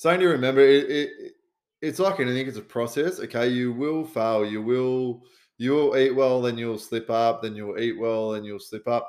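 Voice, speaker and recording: With an Australian accent, a man at medium pitch speaks at a moderate pace with ordinary pitch variation, in a very clean recording with a silent background. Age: 30s. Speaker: podcast host, fitness coach and first responder. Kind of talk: casual solo podcast advice. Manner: casual, sweary, with many fillers.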